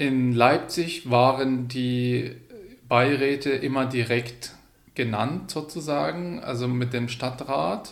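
In a room with audible echo, a man talks very slowly at a medium pitch with ordinary pitch variation. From Syria, Hama. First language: Arabic (speaking German). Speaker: migrant advisory council member. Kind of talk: interview. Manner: animated.

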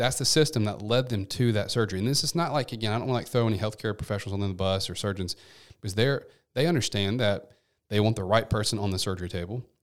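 A man with a Memphis accent at a very fast pace, fairly low pitch and ordinary pitch variation, in a very clean recording with a silent background. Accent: Southern US (Memphis). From US South, Memphis, Tennessee. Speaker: physical therapist. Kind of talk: podcast interview.

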